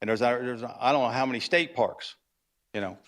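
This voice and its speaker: The recording is very clean, with a silent background. A man is speaking. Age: 60s. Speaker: cattle rancher speaking at public comment. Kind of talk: public comment at city council meeting. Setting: city council chamber. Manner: halting, many fillers.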